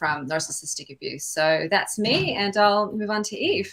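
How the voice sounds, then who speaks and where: A woman with an ordinary speaking voice, fairly even intonation and a moderate pace. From US South, Atlanta, Georgia. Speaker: body therapist and holistic coach. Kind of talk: panel discussion. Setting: live video stream.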